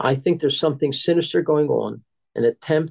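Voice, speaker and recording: A man with a fairly high pitch, moderate pace and fairly even intonation, in a dry, close sound with no echo. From US, immigrant child from Germany. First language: Yiddish. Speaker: advocacy organization president. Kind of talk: interview.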